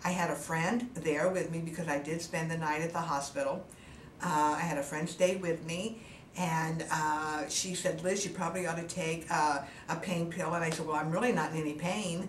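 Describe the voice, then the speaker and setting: Amid noticeable background noise and audible room echo, a woman speaks at a moderate pace with a fairly low pitch and fairly even intonation. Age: 70s. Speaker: cosmetic surgery patient. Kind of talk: testimony. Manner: halting, frequent fillers.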